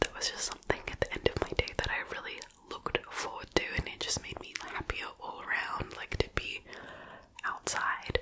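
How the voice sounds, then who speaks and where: Someone whispers over noticeable background noise. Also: moderate pace. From Australia. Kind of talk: casual talk to camera. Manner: whispered.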